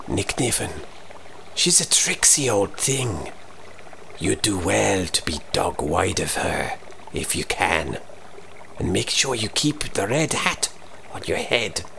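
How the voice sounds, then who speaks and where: Loud background noise sits under a man doing a put-on character voice. He speaks at a fairly slow pace, his pitch fairly low. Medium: read story. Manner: sly, folksy.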